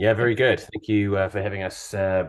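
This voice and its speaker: A man speaks at a fairly quick pace with a New Zealand accent, his fairly low pitch carried on fairly even intonation. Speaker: company founder and CEO. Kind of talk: podcast interview.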